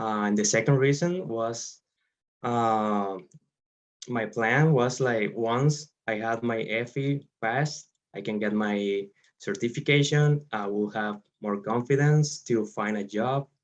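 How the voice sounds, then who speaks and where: A man with a Spanish accent speaks very slowly. His pitch sits in the medium range. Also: ordinary pitch variation. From Venezuela. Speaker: engineer. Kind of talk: interview. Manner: halting, many fillers.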